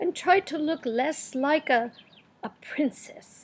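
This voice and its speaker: A woman puts on a character voice. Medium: read story.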